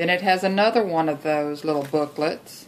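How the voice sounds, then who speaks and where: A woman with a Texas accent, fairly low in pitch, her intonation fairly even. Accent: Texas drawl. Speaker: junk journal maker. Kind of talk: craft tutorial talk to camera.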